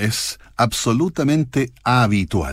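The recording is very clean with a silent background, capturing a man whose voice sits at a medium pitch. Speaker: radio host. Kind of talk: radio music show presentation.

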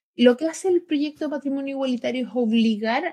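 Lively intonation runs through this woman's dark, mellow tone. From Chile. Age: 30s. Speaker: LGBT rights advocate. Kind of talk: interview.

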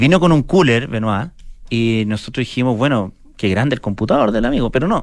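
A man talks at a moderate pace. He speaks with a Chilean accent. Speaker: radio host. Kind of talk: casual chat. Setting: studio.

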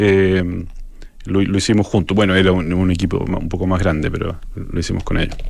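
Monotone, flat intonation with audible room echo. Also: man, very deep, low pitch for a man, moderate pace. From Chile, Santiago. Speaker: architecture photographer. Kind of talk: radio interview. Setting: radio studio. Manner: halting.

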